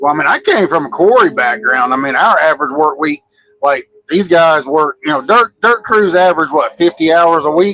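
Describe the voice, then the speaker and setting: In a plain, everyday voice, a man talks at a moderate pace with a fairly high pitch and lively intonation, the sound dry and close with no echo. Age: 40s. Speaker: quarry worker. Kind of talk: casual chat.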